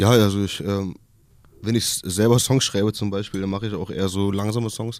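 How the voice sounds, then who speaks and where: On a very clean recording with a silent background, a man talks at a fairly quick pace, his fairly low pitch held in fairly even intonation. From Kassel, northern Hesse. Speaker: musician and casting show contestant. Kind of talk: radio interview. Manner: halting.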